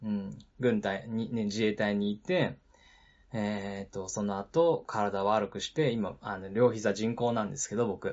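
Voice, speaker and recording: In a plain, everyday voice, the speaker moves at a fairly slow pace with ordinary pitch variation. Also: man, fairly low pitch for a man. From Nagano, Japan. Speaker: podcast host, former taxi driver. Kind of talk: casual solo talk. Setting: live stream.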